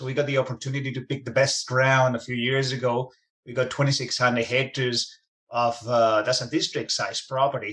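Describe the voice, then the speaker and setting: The man talks at a fairly quick pace in a medium pitch with monotone, flat intonation. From Spain. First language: Spanish. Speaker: mining company executive. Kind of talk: interview.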